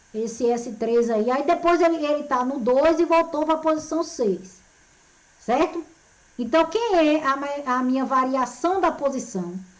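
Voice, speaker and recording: A high-pitched woman's voice with lively intonation, a fairly slow pace and audible room echo. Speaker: physics teacher. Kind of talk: lecture. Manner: animated.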